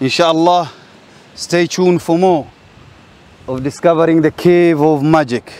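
The man's speech has ordinary pitch variation and a moderate pace, with a dry sound with no echo. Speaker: guide exploring a site. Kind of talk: walking commentary. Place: beach.

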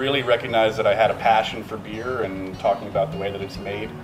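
Clear music plays behind a man talking at a fairly quick pace. His pitch sits fairly low. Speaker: brewery sales staff. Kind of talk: interview answer. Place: bar.

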